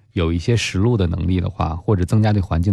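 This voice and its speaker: A man talks at a very fast pace in a very deep, low voice with ordinary pitch variation. His tone is dark, mellow and somewhat breathy. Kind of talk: radio advice show. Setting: studio.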